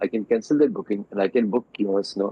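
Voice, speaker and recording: A man speaks in a fairly low pitch. His pace is fairly quick. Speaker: doctor and motorcycle enthusiast. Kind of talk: podcast interview. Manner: halting.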